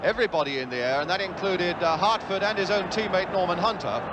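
Over noticeable background noise, a man talks at a very fast pace in an excited tone. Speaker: football match commentator. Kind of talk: 1970s live football match commentary.

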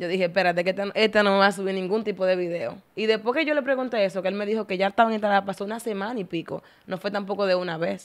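Speaking in a Dominican accent, a woman talks at a very fast pace with hardly any pauses and fairly even intonation. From Dominican Republic. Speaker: TikToker, content creator; podcast guest. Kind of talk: casual interview chat. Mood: venting, somewhat indignant. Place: studio. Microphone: studio mic.

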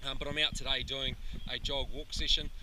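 Loud noise fills the background while a man talks. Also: dry sound with no echo. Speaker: running coach. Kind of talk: casual vlog chat. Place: open country. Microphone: phone near.

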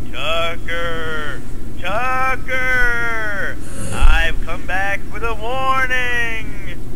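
A man's put-on character voice in a dramatic tone at a very slow pace, over loud background noise. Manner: spooky, dramatic.

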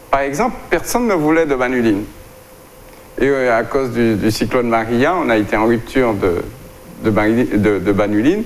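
A man's voice at a fairly slow pace with long, frequent pauses, ordinary pitch variation, very even loudness, and light background noise. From Guadeloupe. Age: 60s. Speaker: doctor and plant-products entrepreneur. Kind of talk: interview. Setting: studio. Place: studio. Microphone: lapel.

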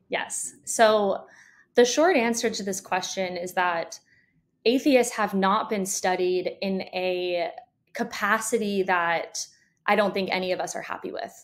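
A woman with an American accent speaks fairly slowly at a medium pitch, with ordinary pitch variation. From conservative religious area. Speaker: doctoral psychology student and researcher. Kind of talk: interview. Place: home room.

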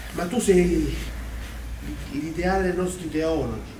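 Very slow speech with fairly even intonation, audible room echo and light background noise. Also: man. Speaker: stage actor. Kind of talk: theatrical dialogue. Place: stage. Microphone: camera far.

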